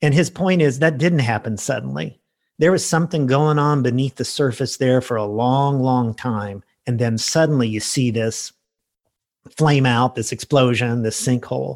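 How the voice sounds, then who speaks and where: The moderate pace comes through on a very clean recording with a silent background. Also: man, medium pitch for a man, ordinary pitch variation. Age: 60s. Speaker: pastor. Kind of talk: casual chat. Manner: halting.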